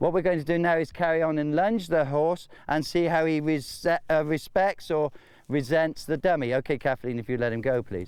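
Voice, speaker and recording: A man with a British accent, fairly high pitch, ordinary pitch variation and a moderate pace. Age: 60s. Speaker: horse trainer. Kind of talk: tutorial.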